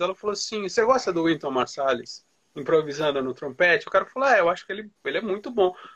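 With very wide pitch swings, a man talks at a very fast pace. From Brazil, Santos. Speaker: interviewer. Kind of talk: interview. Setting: live stream.

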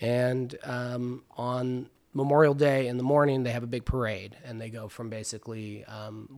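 The recording is very clean, with a silent background. A man speaks in a fairly even intonation. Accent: Californian. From Los Angeles, San Fernando Valley (Van Nuys). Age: 30s. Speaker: chef and cannabis farmer. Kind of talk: casual interview chat. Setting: at his home in Topanga Canyon.

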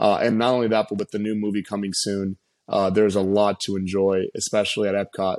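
A man talks at a fairly quick pace in a fairly low pitch with monotone, flat intonation. The sound is dry and close, with no echo. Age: 30s. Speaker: restaurant entrepreneur and NFT investor. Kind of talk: interview.

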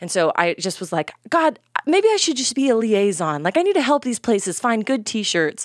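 A woman speaks with lively intonation in a normal speaking voice. The sound is dry and close, with no echo. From North Texas, US. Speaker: fashion entrepreneur and stylist. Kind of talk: casual interview chat.

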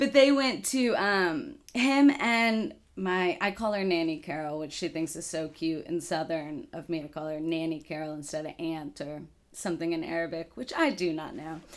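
A woman with an American accent speaks at a moderate pace in a fairly low voice with lively intonation. It is an ordinary speaking voice, recorded very cleanly with a silent background. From Texas, Dallas. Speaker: kitchen manager. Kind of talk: casual interview.

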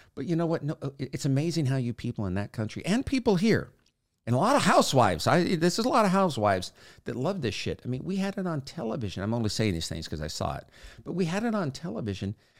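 Speaking at a very fast pace, a man uses a fairly high voice with vocal fry and very wide pitch swings on a very clean recording with a silent background. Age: 60s. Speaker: podcast host. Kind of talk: casual monologue.

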